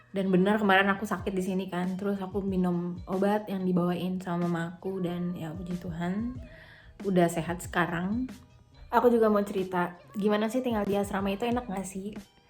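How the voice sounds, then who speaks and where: With music playing behind her, a woman speaks at a fairly quick pace in a medium pitch with fairly even intonation. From Jakarta, Indonesia. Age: 20s. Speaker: university student abroad. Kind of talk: casual vlog talk to camera.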